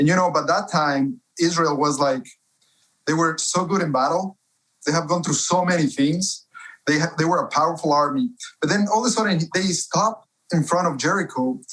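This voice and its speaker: The voice carries a Spanish accent. Its loudness is very even. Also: man, high pitch for a man, ordinary pitch variation, moderate pace. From Ecuador, Cuenca. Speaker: author and publisher. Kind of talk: interview.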